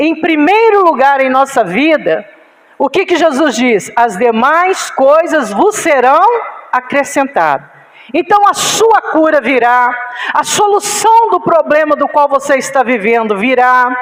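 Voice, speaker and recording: A woman with a high pitch and very wide pitch swings talks at a fairly slow pace and a very even loudness over noticeable background noise. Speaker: pastor. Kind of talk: sermon.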